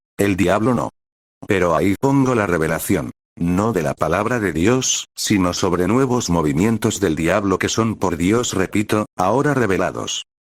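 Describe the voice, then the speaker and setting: A man with a plain, everyday voice speaks at a moderate pace, his fairly low pitch carrying lively intonation in a dry, close sound with no echo and a very clean recording over a silent background. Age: 60s. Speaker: retired pastor. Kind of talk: preaching.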